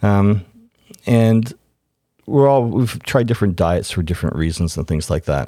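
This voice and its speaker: Speech at a fairly slow pace, with long, frequent pauses, lively intonation and a dark, mellow tone. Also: man, fairly low pitch for a man. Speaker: host's parent. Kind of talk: casual chat.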